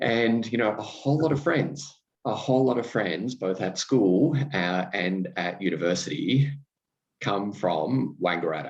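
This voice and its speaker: With lively intonation, a man at a fairly low pitch talks at a fairly slow pace. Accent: Australian. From Australia, regional Victoria. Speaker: podcast host. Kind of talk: casual conversation. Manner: hesitant, many fillers.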